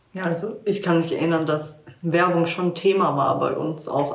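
Flat, monotone intonation is heard with audible room echo and noticeable background noise. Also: woman. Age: 20s. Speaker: social work student. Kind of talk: casual chat.

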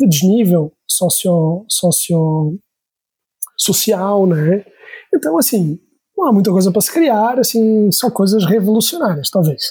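A man's high, dark and mellow voice, fairly slow, with lively intonation. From Portugal. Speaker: startup CEO. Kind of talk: casual interview chat.

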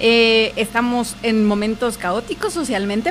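Noticeable background noise beneath a female voice of fairly high pitch. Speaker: radio host. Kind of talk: casual radio chat. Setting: radio studio with Facebook Live.

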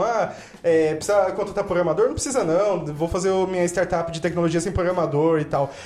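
Noticeable background noise fills the clip. The talking goes at a moderate pace. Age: 30s. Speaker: entrepreneur, startup founder. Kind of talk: casual chat.

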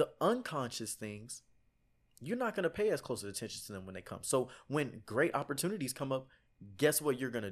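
A man with an American accent speaks at a fairly quick pace in a medium pitch, with very wide pitch swings and big swings in loudness. The recording is very clean with a silent background. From Texas, Houston. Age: 20s. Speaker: author and motivational speaker. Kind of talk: casual chat.

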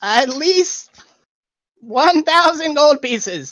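This woman puts on a character voice, pitched high. She speaks at a very slow pace. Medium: actual play. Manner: impatient, condescending.

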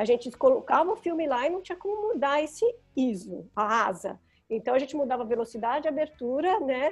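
The pitch swings very widely as the speech moves at a fairly quick pace. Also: woman, high pitch for a woman. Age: 50s. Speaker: photographer. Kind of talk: interview.

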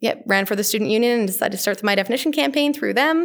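In a very clean recording with a silent background, a woman speaks at medium pitch with a Western Canadian accent and lively intonation. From Canada, small-town northern Alberta. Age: 20s. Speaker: mental health and LGBTQ speaker, grad student. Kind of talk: casual interview conversation. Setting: recorded on site at a conference.

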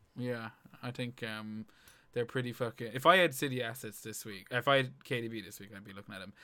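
Bright, sharp tone from a man at a medium pitch, moving at a fairly quick pace with ordinary pitch variation. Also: big swings in loudness. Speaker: FPL podcast host. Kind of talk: casual chat about fantasy football.

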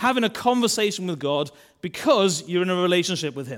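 A man with a Welsh accent speaks at a moderate pace in a fairly high pitch, his intonation lively. The recording is very clean, with a silent background. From Wales. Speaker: church minister. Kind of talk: sermon. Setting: church.

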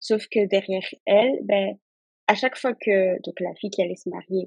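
A woman speaks at a fairly slow pace and a medium pitch, the sound dry and close with no echo. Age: 20s. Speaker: insurance claims handler. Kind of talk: casual chat.

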